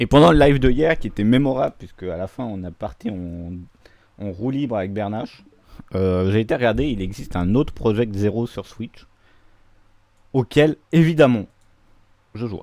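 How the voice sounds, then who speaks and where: A man with a medium pitch talks at a moderate pace with lively intonation, big swings in loudness, and long, frequent pauses. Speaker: video game streamer. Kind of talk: gaming livestream commentary.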